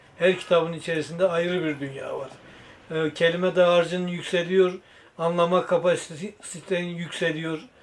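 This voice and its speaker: A man's high-pitched, monotone voice with flat intonation at a moderate pace, over noticeable background noise. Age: 70s. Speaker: secondhand bookseller. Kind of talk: interview answer. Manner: hesitant, with filler sounds.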